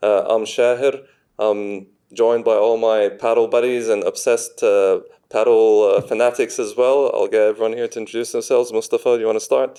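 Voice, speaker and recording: Against a quiet background, a man talks at a fairly quick pace in an Australian accent. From Australia, Sydney. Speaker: podcast host. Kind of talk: casual chat.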